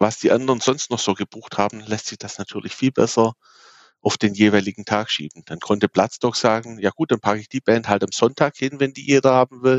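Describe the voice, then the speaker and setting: Loudness swings widely as an unremarkable speaking voice, with ordinary pitch variation, hurries along at a fairly quick pace. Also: man. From Swabia, Baden-Württemberg (near Aalen). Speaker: music festival organizer. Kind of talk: interview.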